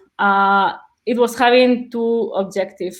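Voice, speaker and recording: A woman speaks with a Spanish accent and monotone, flat intonation. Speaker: conversation analyst, webinar presenter. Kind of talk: webinar presentation. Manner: halting, many repetitions and fillers.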